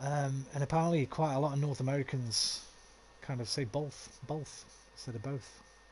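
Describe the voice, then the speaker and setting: A man's medium-pitched voice, somewhat breathy, keeps a moderate pace. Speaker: video game streamer. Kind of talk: live gameplay commentary with chat. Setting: live stream.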